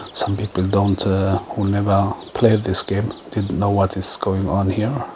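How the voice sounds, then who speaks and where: Over noticeable background noise, a man speaks fairly slowly in a fairly low voice with monotone, flat intonation. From Germany. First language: German. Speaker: gaming YouTuber. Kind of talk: gameplay commentary. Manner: halting, many fillers.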